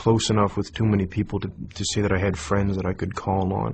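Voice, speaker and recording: A man with a Maritime Canadian accent, fairly low in pitch and somewhat breathy, in a monotone, flat delivery against a quiet background. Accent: Canadian (Maritimes). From Nova Scotia, Canada. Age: 20s. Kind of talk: testimony. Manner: hesitant, many fillers.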